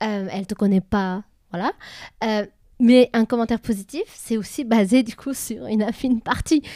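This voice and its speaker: A woman speaks at a fairly high pitch with ordinary pitch variation and a dark, mellow tone. The sound is dry and close, with no echo. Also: very clean recording, silent background. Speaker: podcast co-host. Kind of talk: casual chat. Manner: fast.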